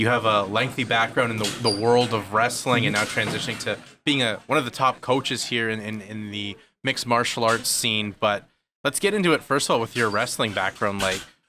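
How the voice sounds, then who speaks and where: Music plays in the background as a man talks fairly quickly at a medium pitch. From Canada, Ontario (Kitchener area). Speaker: podcast host and play-by-play commentator. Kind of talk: podcast interview.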